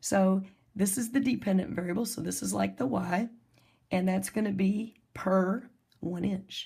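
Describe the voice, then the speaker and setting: A woman speaks at a fairly slow pace in a medium-pitched, dark, mellow tone that is somewhat breathy, with fairly even intonation. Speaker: math teacher. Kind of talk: recorded lesson.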